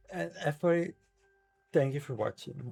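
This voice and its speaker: Music plays behind a man who speaks at a fairly quick pace with lively intonation. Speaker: streamer. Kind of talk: live gaming stream chat. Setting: live stream with camera. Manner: limited mouth movement when talking.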